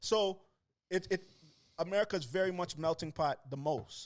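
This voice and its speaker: A man talks in a fairly high pitch at a moderate pace, with an animated tone and ordinary pitch variation. The recording is very clean, with a silent background. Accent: Toronto. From Toronto, Canada. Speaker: rapper. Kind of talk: casual chat.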